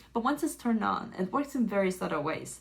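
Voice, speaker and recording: A woman with a Chinese accent, fairly quick and lively in intonation. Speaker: tech reviewer. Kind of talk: product review.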